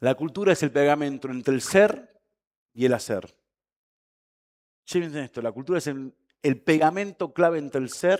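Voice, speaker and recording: A man talks in a fairly high voice with lively intonation and an animated tone. He leaves long, frequent pauses. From Argentina. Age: 40s. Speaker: conference speaker. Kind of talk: keynote talk. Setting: stage with audience. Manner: fast.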